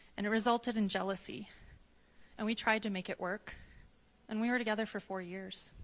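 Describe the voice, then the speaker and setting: A woman's fairly high, monotone voice at a fairly quick pace, with flat intonation and long, frequent pauses. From US Midwest, Wisconsin. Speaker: storyteller. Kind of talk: personal storytelling on stage. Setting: stage with live audience. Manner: soft-spoken.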